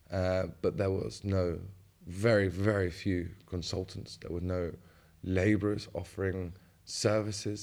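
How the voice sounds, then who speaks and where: A man talks in monotone, flat intonation at a very deep, low pitch. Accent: southern English. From England, West Sussex. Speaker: wine grower and farmer. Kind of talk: interview.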